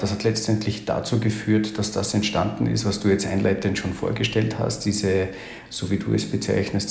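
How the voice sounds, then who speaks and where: In a slight Austrian accent, a man speaks fairly quickly at a fairly low pitch with monotone, flat intonation, against noticeable background noise and audible room echo. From Austria, Salzburg. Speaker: agency founder and IT consultant. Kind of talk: interview.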